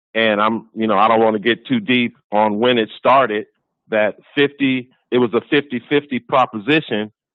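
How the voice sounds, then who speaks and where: A man speaks in a plain, everyday voice of medium pitch. His pace is moderate and his pitch variation ordinary. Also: very even loudness. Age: 60s. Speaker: caller. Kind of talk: casual chat. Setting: phone call.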